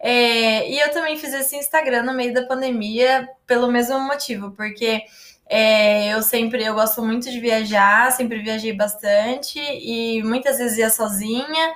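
A woman's high voice at a fairly slow pace over noticeable background noise. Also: fairly even intonation. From Brazil, Paraná (Londrina). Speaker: travel influencer, live host. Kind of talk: casual interview.

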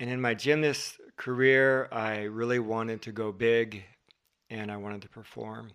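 In an ordinary speaking voice, someone with an American accent talks at a moderate pace with fairly even intonation and big swings in loudness. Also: man, medium pitch for a man. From Southern California. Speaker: marriage and family therapist. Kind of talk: casual interview conversation.

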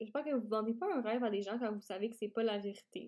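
A woman speaks in a Quebec accent with a dark, mellow tone. Her pitch is fairly high with ordinary variation. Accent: Québécois French. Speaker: podcast host, startup founder. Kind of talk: solo podcast talk.

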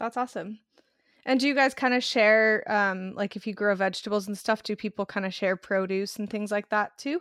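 A woman at medium pitch with ordinary pitch variation, fairly quick, in a dry, close sound with no echo and a very clean recording with a silent background. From Arizona. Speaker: podcast host. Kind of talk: casual interview. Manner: animated.

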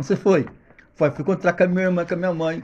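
A man speaks at a high pitch. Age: 40s. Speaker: podcast guest. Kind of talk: casual chat.

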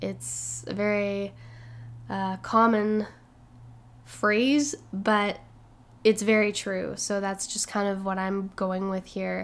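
Speaking very slowly, a woman pauses often and at length. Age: 20s. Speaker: podcast host and musician. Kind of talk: casual solo monologue.

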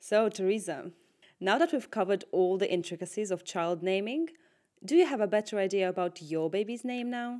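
On a very clean recording with a silent background, a woman with a dark, mellow tone speaks at a fairly quick pace, her medium pitch carrying lively intonation. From Russia. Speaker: podcast host. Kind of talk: scripted narration.

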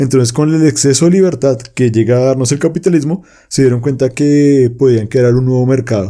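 Using a dark, mellow tone, a man speaks very fast at a medium pitch with ordinary pitch variation. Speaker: podcast co-host discussing philosophy books. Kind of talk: casual discussion.

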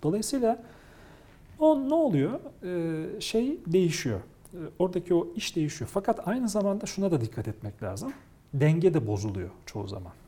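A man speaks at a moderate pace with a dark, mellow tone. His pitch swings very widely. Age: 40s. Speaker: technology communicator and lecturer. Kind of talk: interview.

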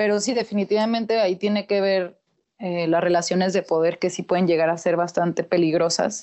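At a fairly quick pace, a woman talks in a normal speaking voice at medium pitch, with fairly even intonation and very even loudness. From Mexico, Torreón, Coahuila. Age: 20s. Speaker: sociologist. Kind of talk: casual chat.

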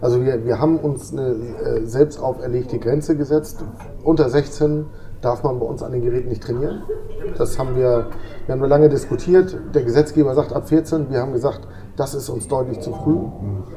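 This male speaker keeps his intonation fairly even amid noticeable background noise. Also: medium pitch for a man, moderate pace. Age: 40s. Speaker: gym manager. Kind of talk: casual interview.

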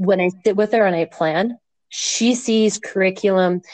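In a normal speaking voice, a woman talks at a medium pitch and fairly slow pace with ordinary pitch variation. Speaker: junior high teacher. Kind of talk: casual interview. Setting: remote recording via app.

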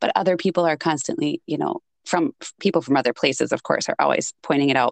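Moderate pace with vocal fry and a strong Minnesotan accent, ordinary pitch variation, and a dry, close sound with no echo. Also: woman. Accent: thick Minnesotan.

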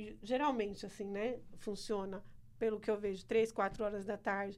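A woman with a plain, everyday voice, fairly high in pitch, moderate in pace, with fairly even intonation. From Brazil, small town. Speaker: church member. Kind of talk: casual chat. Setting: studio.

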